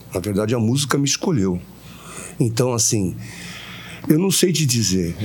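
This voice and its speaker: Lively intonation marks a man's medium-pitched voice at a moderate pace. Noticeable background noise is present. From Santos, Brazil. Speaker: singer-songwriter. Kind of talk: interview.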